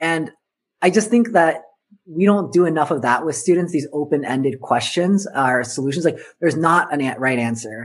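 A man with an American accent, fairly high pitch, lively intonation and a moderate pace. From Southern California. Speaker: education consultant, former teacher. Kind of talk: casual interview.

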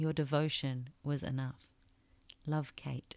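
Speaking very slowly with fairly even intonation, a woman uses a very deep, low pitch. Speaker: podcast host and author. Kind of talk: reflective solo podcast monologue; reading aloud from own book. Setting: makeshift home recording studio.

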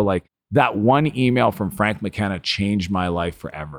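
In a very clean recording with a silent background, a man with a Canadian Maritime accent talks at a fairly low pitch. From Eastern Canada (New Brunswick). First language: French. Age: 40s. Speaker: entrepreneur and author. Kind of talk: interview, personal storytelling. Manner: animated.

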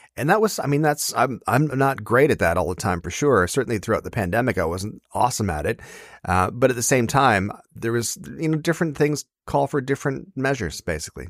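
On a very clean recording with a silent background and a dry, close sound with no echo, a man speaks at a fairly quick pace and a medium pitch, with vocal fry and very wide pitch swings. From Ontario, Canada. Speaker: comedian and author. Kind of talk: casual interview.

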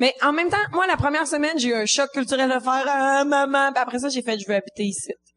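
Very fast and with hardly any pauses, a woman talks in a high voice with ordinary pitch variation. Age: 20s. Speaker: comedian. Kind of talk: casual chat. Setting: stage with audience.

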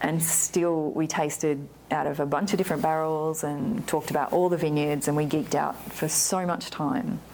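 A woman's very deep, low voice with an Australian accent, at a moderate pace, with ordinary pitch variation, very even loudness and hardly any pauses. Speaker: winemaker. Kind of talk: oral history interview, telling her life story in a relaxed conversational way. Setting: in-person interview in a library. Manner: animated, chatty, laughs often.

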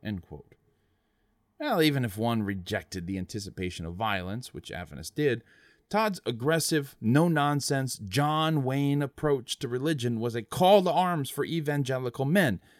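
Dramatic and serious in tone, a man with a fairly high pitch talks at a moderate pace with very wide pitch swings, recorded very cleanly against a silent background. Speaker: podcast host. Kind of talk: true-crime style narration, scripted storytelling; scripted narration. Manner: measured, dramatic, serious storyteller pacing.

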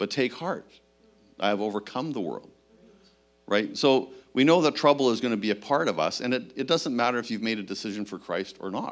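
Over music in the background, a man with a medium pitch talks at a fairly quick pace with ordinary pitch variation. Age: 60s. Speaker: pastor. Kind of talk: sermon. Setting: church.

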